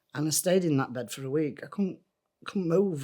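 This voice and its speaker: A woman's very deep, low-pitched voice with a Yorkshire accent and ordinary pitch variation. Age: 60s. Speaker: former smoker. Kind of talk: testimony.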